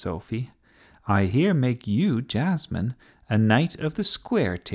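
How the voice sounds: The voice heard is a natural reading voice.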